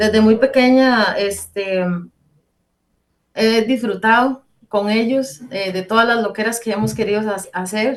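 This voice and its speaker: Speaking at a fairly slow pace with long, frequent pauses, a woman holds a fairly high pitch and fairly even intonation. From Costa Rica, Heredia. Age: 30s. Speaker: church member giving testimony. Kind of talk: testimony. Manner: hesitant, many fillers.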